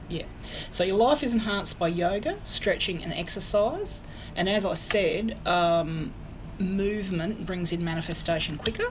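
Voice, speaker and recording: The speaker has an Australian accent, a moderate pace and ordinary pitch variation. Audible room echo and noticeable background noise are present. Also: woman. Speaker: psychic medium. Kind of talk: tarot reading livestream. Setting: live stream.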